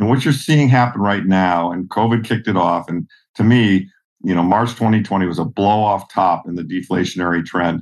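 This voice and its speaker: With an ordinary speaking voice and an American accent, a man talks at a fairly quick pace, fairly low in pitch, with ordinary pitch variation. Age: 60s. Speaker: investor. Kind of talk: interview.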